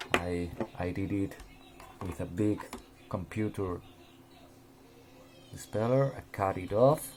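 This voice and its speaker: Speaking very slowly with long, frequent pauses, a man in a Spanish accent keeps a fairly low pitch and ordinary pitch variation. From Spain. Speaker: RC hobbyist. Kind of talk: tutorial. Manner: halting, with many repeated words.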